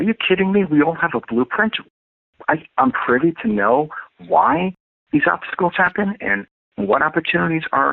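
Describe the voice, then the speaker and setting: A man in a New York accent, fairly high-pitched, at a moderate pace with very wide pitch swings. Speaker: astrologer and life coach. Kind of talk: interview.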